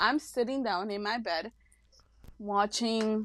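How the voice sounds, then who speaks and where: This woman speaks with a Mexican accent and a fairly high pitch. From Mexico. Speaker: podcast co-host. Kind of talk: casual chat.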